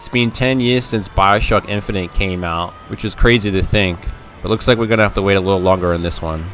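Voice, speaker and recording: Backed by music, a man talks at a fairly quick pace with a fairly low pitch. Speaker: gaming YouTuber. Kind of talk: casual talk to camera. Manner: enthusiastic.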